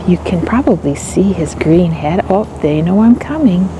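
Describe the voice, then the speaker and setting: A soft-spoken woman talks at a moderate pace with a Canadian Prairie accent. There is noticeable background noise. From Saskatchewan, Canada (Regina). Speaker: travel vlogger. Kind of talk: casual vlog narration. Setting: outdoors, prairie grassland. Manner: soft-spoken, quiet.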